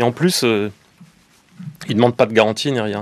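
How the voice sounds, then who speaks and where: Fairly brisk speech from a man, pitch varying in a normal way. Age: 60s. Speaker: fashion company founder and business owner. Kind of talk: radio interview. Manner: hesitant with many fillers.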